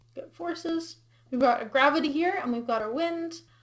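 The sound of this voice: The woman's pitch is high, with ordinary variation. She keeps a moderate pace.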